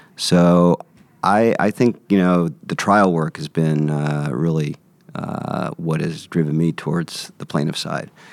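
A man with an American accent and a very deep, low pitch, fairly slow pace and ordinary pitch variation, dry and close with no echo, amid noticeable background noise. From US West Coast, San Francisco. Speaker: plaintiff-side trial attorney. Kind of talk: podcast interview. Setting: recorded on location at a conference.

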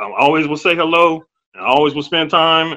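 This man has a fairly high pitch and an American accent. He talks at a very fast pace. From US Midwest, Ohio. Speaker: high school teacher and former pro basketball player. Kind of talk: interview. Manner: halting.

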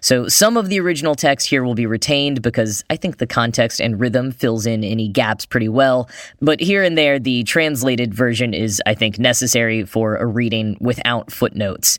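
A man in a General American accent with a medium pitch and a plain, everyday voice talks at a moderate pace with ordinary pitch variation and hardly any pauses. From United States. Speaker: podcast host. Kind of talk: scripted news-style podcast narration.

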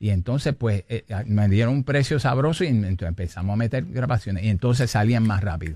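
Talking at a fairly quick pace with hardly any pauses, a man with a Puerto Rican accent keeps a medium pitch and very even loudness. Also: dry, close sound with no echo. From Puerto Rico. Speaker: salsa pianist and arranger. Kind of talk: interview.

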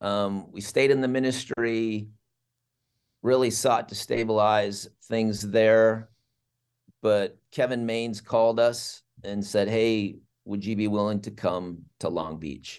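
Over a quiet background, a man speaks at a very slow pace in a fairly low pitch. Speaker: campus ministry leader. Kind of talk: casual interview chat.

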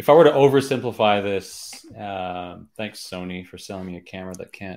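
At a fairly slow pace, a man uses an ordinary speaking voice with ordinary pitch variation in a very clean recording with a silent background. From Canada. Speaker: podcast host. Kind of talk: interview. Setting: live stream.

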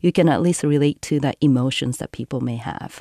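A woman talks at a moderate pace in a Japanese accent, her tone dark and mellow. The sound is dry and close with no echo, over a quiet background. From Japan, Tokyo area. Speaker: environmental filmmaker and cyclist. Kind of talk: storytelling. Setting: studio.

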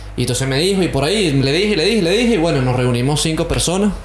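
There is noticeable background noise behind this man. He talks very fast with lively intonation. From Venezuela (Caracas). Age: 20s. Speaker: musician, drummer. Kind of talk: interview.

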